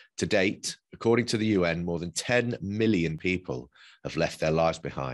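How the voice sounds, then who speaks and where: Against a quiet background, a man with a British accent and a very deep, low pitch talks at a moderate pace with lively intonation. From UK, Polish family. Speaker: podcast host. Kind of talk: scripted narration. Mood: serious, measured. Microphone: webcam.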